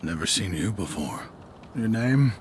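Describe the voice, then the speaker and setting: A man's raspy, put-on character voice, fairly low in pitch, with very wide pitch swings, a moderate pace and clear background noise. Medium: video game. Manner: easygoing, chuckling.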